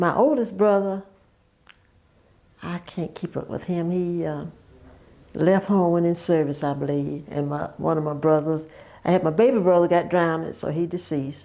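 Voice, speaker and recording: At a moderate pace, a dark, mellow voice in a Southern US accent shows ordinary pitch variation and long, frequent pauses. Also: woman, fairly low pitch for a woman. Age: 80s+. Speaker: oral history interviewee. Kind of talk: oral history interview. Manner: halting.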